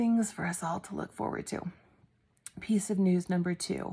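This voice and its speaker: This is a woman speaking. She is soft-spoken. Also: very clean recording, silent background. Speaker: genealogy YouTuber. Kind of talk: casual vlog update. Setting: home at night, others asleep.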